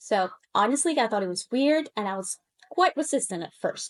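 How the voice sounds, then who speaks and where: Her voice is high-pitched and makes very wide pitch swings. The woman's recording has a dry, close sound with no echo. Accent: Spanish. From Colombia. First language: Spanish. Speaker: language coach. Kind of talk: casual monologue to camera.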